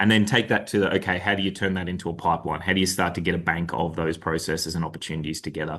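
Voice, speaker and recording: Talking at a very fast pace, a man with an Australian accent uses ordinary pitch variation. The background is quiet. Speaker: delivery lead at consulting firm. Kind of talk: webinar presentation. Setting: video call webinar.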